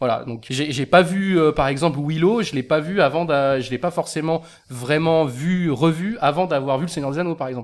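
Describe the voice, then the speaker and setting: A normal speaking voice from a man at a fairly high pitch, moderate pace and ordinary pitch variation, on a very clean recording with a silent background. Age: 30s. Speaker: film podcast panelist. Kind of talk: casual chat.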